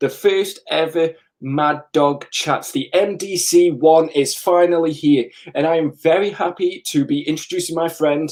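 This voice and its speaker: A man speaks in a Staffordshire accent at a high pitch. His pace is fairly slow and his intonation fairly even. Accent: English, Stoke-on-Trent. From England. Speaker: comic book YouTuber. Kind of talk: casual live chat.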